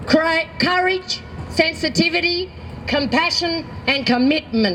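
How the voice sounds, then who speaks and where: Amid noticeable background noise, a woman with a high pitch speaks at a fairly slow pace with ordinary pitch variation. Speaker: activist. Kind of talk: public speech.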